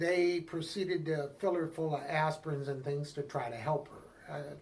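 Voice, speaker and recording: With a Midwestern American accent, a man speaks at a fairly high pitch and a moderate pace, his intonation fairly even. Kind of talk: interview.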